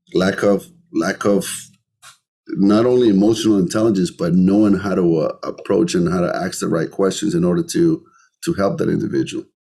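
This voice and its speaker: In a Colombian accent, a man with a dark, mellow tone and fairly low pitch talks at a fairly quick pace, his pitch swinging very widely. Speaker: entrepreneur, podcast guest. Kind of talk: interview conversation.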